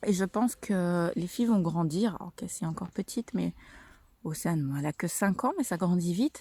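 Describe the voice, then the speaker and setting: A woman's somewhat breathy, dark, mellow voice, lively in intonation and fairly quick in pace, with a dry, close sound with no echo on a very clean recording with a silent background. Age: 30s. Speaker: mother vlogger. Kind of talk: casual vlog monologue. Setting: outdoors on a walk. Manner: hesitant, many fillers.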